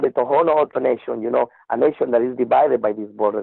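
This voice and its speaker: Very fast speech from a man, his pitch varying in an ordinary way. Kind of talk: interview. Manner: halting, many repetitions.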